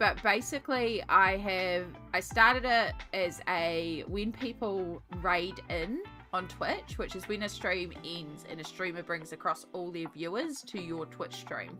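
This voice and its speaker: Over music in the background, a woman with a New Zealand accent speaks at a fairly slow pace, with lively intonation and big swings in loudness. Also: medium pitch for a woman. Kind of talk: casual, loosely enunciated.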